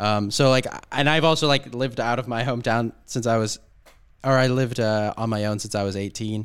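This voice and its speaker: With a Southern California accent, a man speaks at a medium pitch and with fairly even intonation. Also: fairly quick pace. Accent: Southern Californian American English. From US, Southern California (Orange County). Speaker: podcast guest, expat, podcaster. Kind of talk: casual interview chat. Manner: hesitant, many fillers and restarts.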